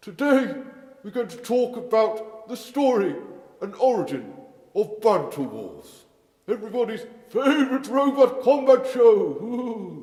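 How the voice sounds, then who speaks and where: A man performs a put-on character voice at an extremely high pitch. There is slight echo. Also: moderate pace. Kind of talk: comedic story narration. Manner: playful, theatrical.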